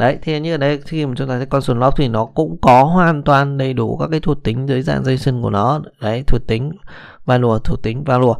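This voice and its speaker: A man speaks in a normal speaking voice at a medium pitch and a fairly quick pace, with ordinary pitch variation. The background is quiet. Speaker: programming instructor. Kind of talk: tutorial. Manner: casual, with many fillers.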